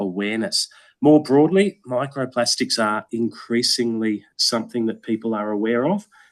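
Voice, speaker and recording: An Australian accent from a man at a moderate pace, set against a quiet background. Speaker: environmental educator. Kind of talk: Q&A answer at online meeting. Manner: hesitant, many fillers.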